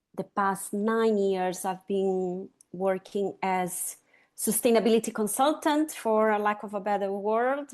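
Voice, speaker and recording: Over a quiet background, a woman with a Latin American accent speaks at a fairly slow pace with fairly even intonation. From Chile, raised in Brazil. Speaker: sustainability consultant. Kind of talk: interview conversation.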